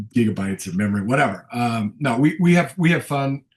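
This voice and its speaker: A man talks at a very fast clip with lively, bouncing intonation. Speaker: college football color commentator and former coach. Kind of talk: casual interview. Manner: halting, many repeated words.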